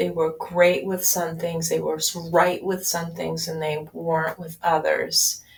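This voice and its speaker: A woman talks fairly slowly, with noticeable noise behind her. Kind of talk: casual audio-only talk, personal update. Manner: low key.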